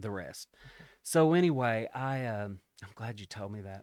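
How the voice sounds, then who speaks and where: In a Kentucky accent, a man speaks at a fairly slow pace and medium pitch with ordinary pitch variation, the sound dry and close with no echo on a very clean recording with a silent background. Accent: Kentucky Southern American. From Union County, Kentucky. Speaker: storyteller. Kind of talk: interview answer.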